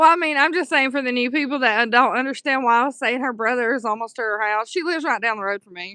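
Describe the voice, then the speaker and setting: In a Southern US accent, a bright, sharp voice races along very fast with hardly any pauses and big swings in loudness over a quiet background. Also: woman, high pitch for a woman, ordinary pitch variation. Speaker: livestreamer. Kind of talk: casual chat. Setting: live stream.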